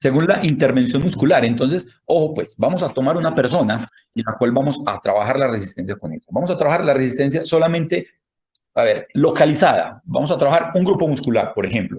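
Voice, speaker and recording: With vocal fry and lively intonation, a man talks at a fairly quick pace. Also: fairly high pitch for a man. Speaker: handball fitness coach and lecturer. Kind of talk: lecture. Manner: fast. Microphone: connectivity problems.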